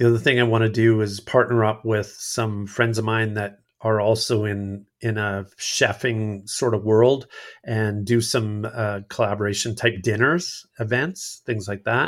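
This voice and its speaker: Here a man talks at a fairly slow pace with hardly any pauses, in a plain, everyday voice of fairly low pitch. His intonation stays fairly even. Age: 50s. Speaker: outdoorsman and content creator. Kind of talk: casual interview chat.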